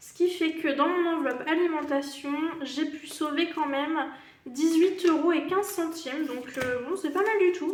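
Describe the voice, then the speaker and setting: With audible room echo, a woman speaks fairly slowly in an extremely high voice, her intonation fairly even and her loudness swinging widely. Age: 30s. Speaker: budgeting YouTuber. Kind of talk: casual vlog tutorial. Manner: hesitant, many fillers.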